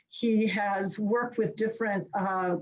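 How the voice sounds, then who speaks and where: Somewhat breathy, the woman's voice sits at a fairly high pitch with fairly even intonation. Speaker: webinar moderator. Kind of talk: speaker introduction. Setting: video call.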